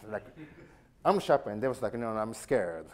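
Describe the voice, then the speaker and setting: Over light background noise, a man speaks with a Japanese accent. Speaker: knife sharpener. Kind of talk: talk to a live audience. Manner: casual. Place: hall.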